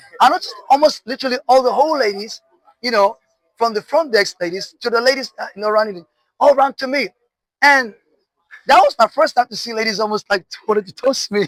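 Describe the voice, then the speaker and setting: An animated tone at a fairly quick pace, with ordinary pitch variation, long, frequent pauses and a dry, close sound with no echo. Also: man, extremely high pitch for a man. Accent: Nigerian. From northern Nigeria. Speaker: artist. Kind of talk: interview.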